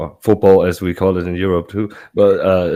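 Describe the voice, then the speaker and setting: A man with a German accent, a fairly low pitch for a man, a dark, mellow tone and fairly even intonation. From Germany, Munich. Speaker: sports fan guest. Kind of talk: casual chat. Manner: halting.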